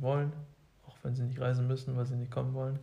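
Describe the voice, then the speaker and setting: Somewhat breathy and dark, mellow in tone, a man speaks at a medium pitch with monotone, flat intonation and audible room echo. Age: 20s. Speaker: co-host, engineering student. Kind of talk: casual chat.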